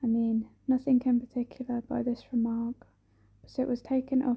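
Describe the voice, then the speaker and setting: Soft-spoken, a woman talks at a moderate pace in a high pitch with a dark, mellow tone. Her intonation stays monotone and flat. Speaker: ASMR creator. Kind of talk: ASMR soft spoken book reading.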